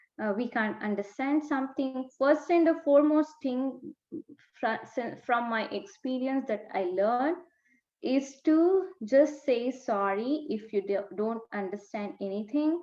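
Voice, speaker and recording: With an Indian accent, a woman speaks in a high pitch at a fairly slow pace. Her intonation is lively. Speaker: naturopath and dietetics graduate. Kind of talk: interview. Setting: video call.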